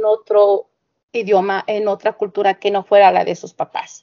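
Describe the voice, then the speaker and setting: A normal speaking voice from a woman, fairly high in pitch, at a fairly slow pace. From Mexico. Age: 30s. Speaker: teacher, fan group admin. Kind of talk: casual interview chat.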